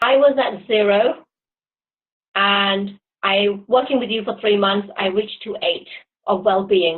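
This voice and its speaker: Long, frequent pauses break up talking that proceeds fairly slowly. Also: woman, medium pitch for a woman, ordinary pitch variation. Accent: British. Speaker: client. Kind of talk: testimonial interview.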